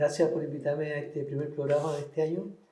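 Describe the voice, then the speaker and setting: A man's fairly high, somewhat breathy voice with a dark, mellow tone and audible room echo. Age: 60s. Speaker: painter. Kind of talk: interview. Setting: cultural center. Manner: halting, repetitive.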